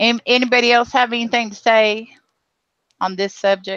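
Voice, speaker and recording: A woman speaks at a fairly quick pace with a bright, sharp tone. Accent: Southern US. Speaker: live stream host. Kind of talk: casual chat. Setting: live video hangout.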